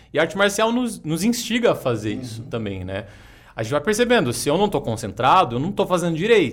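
Very fast and fairly high-pitched, a man's voice shows vocal fry. His pitch swings very widely. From Jacareí, interior of São Paulo state, Brazil. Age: 30s. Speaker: yoga teacher and martial artist. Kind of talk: casual interview.

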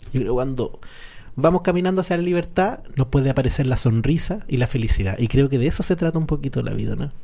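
Speaking very fast with a Chilean accent, a man has a fairly high pitch, lively intonation, a dark, mellow tone and a somewhat breathy sound. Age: 40s. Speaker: radio host. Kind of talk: casual chat.

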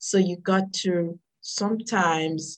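Somewhat breathy, a woman talks with ordinary pitch variation. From Dominica. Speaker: motivational speaker and author. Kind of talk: interview.

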